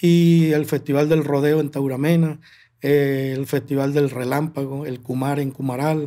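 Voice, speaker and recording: In a dark, mellow tone, a man speaks at a fairly slow pace with a fairly high pitch. His delivery is monotone and flat over a quiet background. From Venezuelan llanos, Barinas; Venezuela. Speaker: llanera music composer and singer; guest. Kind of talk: interview. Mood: calm, reflective. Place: studio. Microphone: studio mic.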